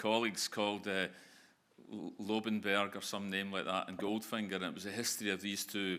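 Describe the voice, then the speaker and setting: In a Glasgow accent, the voice has a bright, sharp tone and monotone, flat intonation on a very clean recording with a silent background. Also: man. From Scotland, Glasgow. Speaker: business founder and managing director. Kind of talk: conference Q&A. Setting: stage with audience.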